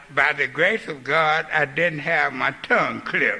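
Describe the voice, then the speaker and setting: A man's fairly high voice moves at a moderate pace while noticeable background noise runs behind him. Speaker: recovering alcoholic speaker. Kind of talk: recovery talk. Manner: halting.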